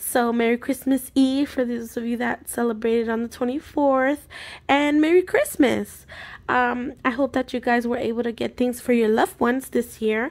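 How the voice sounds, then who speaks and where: A high-pitched woman's voice at a moderate pace with fairly even intonation. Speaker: budgeting vlogger. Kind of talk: casual vlog tutorial. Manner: casual, filler-heavy. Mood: warm, festive. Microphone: phone near.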